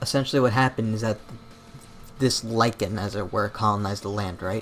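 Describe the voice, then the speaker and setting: With music in the background, a man talks very fast at a fairly low pitch and with fairly even intonation. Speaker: YouTube documentary critic. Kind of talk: casual commentary video. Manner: stutters; casual, filler-heavy.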